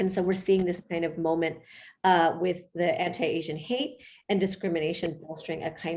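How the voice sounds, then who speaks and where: Audible room echo surrounds a woman with an American accent whose fairly low voice keeps fairly even intonation. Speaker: professor. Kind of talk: lecture. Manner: fast; halting, many fillers.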